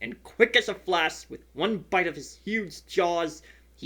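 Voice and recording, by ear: The speaker is reading aloud in a natural voice with ordinary pitch variation.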